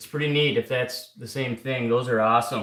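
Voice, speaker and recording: A man talks at a fairly slow pace and a medium pitch. His intonation stays fairly even. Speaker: clock repairer. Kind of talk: live stream workshop chat. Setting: workshop. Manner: loud; halting.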